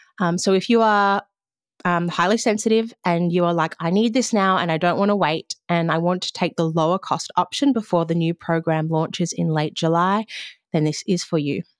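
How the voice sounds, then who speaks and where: A woman's fairly low voice in an Australian accent, at a moderate pace with ordinary pitch variation and very even loudness, in a very clean recording with a silent background and a dry, close sound with no echo. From Western Australia (Margaret River). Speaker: podcast host and coach. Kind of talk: solo podcast monologue.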